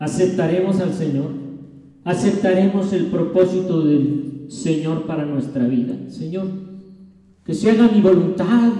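Spoken at a fairly slow pace with ordinary pitch variation, the voice has audible room echo and noticeable background noise. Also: man, high pitch for a man. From Mexico City. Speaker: pastor. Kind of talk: sermon.

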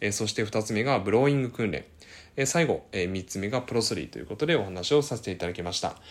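Talking at a very fast pace, a man has a fairly low pitch. The recording is very clean, with a silent background. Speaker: speech-language therapist YouTuber. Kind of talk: educational explainer video. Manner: many filler words, hesitant pauses.

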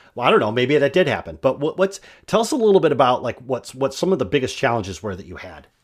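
A man with an American accent talks at a very fast pace in a medium pitch, with vocal fry, big swings in loudness and very wide pitch swings. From Michigan. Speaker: podcast host. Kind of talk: interview.

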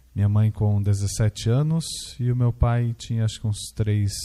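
A man speaks at a fairly slow pace with a fairly low pitch. His voice is somewhat breathy, with a dark, mellow tone. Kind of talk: testimony.

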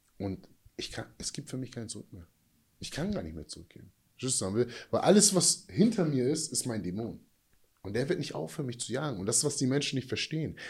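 Speaking fairly quickly, a man uses a medium pitch with vocal fry and very wide pitch swings. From USA, moved to Germany at about 12. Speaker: life coach, former prisoner and football player. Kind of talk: casual chat.

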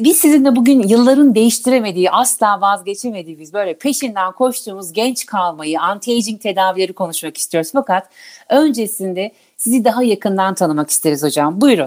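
A woman with a plain, everyday voice speaks at a medium pitch and a fairly quick pace, with lively intonation. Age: 40s. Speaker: podcast host. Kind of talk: interview.

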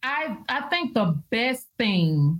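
The recording is very clean, with a silent background. A woman speaks at a medium pitch, somewhat breathy, with very wide pitch swings. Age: 40s. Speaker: minister and prophetess. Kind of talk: casual chat. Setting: live video stream.

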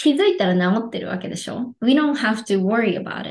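Her voice an unremarkable speaking voice, a woman talks at a fairly high pitch with lively intonation. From Japan, Yokohama. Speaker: life coach. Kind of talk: casual interview.

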